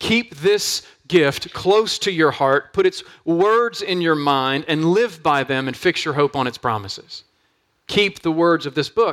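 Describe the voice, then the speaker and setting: A man with a plain, everyday voice speaks at a fairly slow pace. His pitch sits fairly high, and his intonation is lively. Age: 40s. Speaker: pastor. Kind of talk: sermon.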